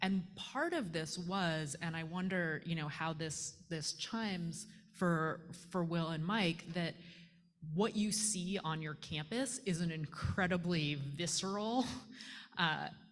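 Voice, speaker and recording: At a fairly slow pace, a somewhat breathy woman speaks with a fairly low pitch and ordinary pitch variation. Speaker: panel moderator. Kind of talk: panel discussion.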